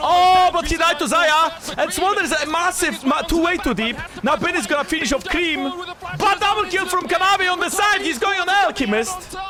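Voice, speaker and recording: A man shouts in a raised, projected voice at an extremely high pitch, with an animated tone. His pitch varies in an ordinary way, and there is noticeable background noise. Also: moderate pace. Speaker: streamer reacting to esports match. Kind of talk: live watch-along commentary. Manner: animated, exclaiming; loud, yelling.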